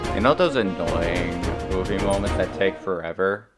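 A man with a fairly low pitch speaks over music in the background. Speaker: gamer streamer. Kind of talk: casual gameplay commentary. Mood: playful, joking.

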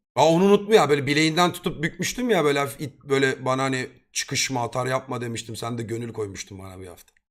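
On a very clean recording with a silent background, a man with a medium pitch and an animated tone talks at a very fast pace with hardly any pauses, lively intonation and big swings in loudness. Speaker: streamer. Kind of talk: casual chat.

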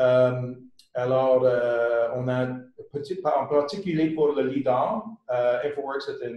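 Against a quiet background with audible room echo, a man speaks at a very slow pace with fairly even intonation. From Quebec. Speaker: consulting company founder; webinar presenter. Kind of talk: webinar presentation. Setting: online webinar. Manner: halting. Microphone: webcam.

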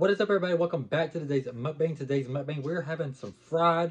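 The pace is fairly quick. A man speaks, and his pitch shifts in an ordinary way. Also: quiet background. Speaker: mukbang vlogger. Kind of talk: casual vlog chat. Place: home room. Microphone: phone near.

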